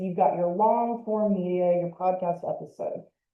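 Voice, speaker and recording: At a moderate pace, a woman speaks with a normal speaking voice and ordinary pitch variation. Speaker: museum educator and podcaster. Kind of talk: lecture.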